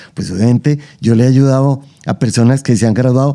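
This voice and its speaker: At a moderate pace, the speaker's tone comes across as dark and mellow. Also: man. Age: 70s. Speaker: anthropologist and archaeologist. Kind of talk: interview conversation. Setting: at his home.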